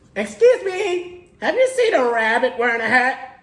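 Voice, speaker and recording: Put-on character voice from a man, extremely high-pitched, at a moderate pace. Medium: read story.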